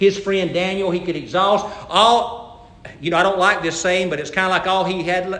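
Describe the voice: What's heard here is a plain reading aloud.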